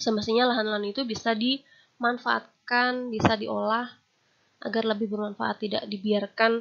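Here is a woman with a fairly high pitch. She speaks at a moderate pace in a monotone, flat way. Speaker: university lecturer. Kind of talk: lecture. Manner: formal.

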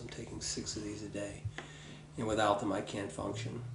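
A man speaks at a fairly quick pace. Background noise is noticeable. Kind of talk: personal documentary talk. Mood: matter-of-fact, reflective.

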